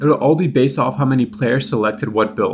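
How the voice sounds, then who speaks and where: Over music in the background, a man talks at a fairly quick pace with very wide pitch swings. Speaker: gaming youtuber. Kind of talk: scripted commentary.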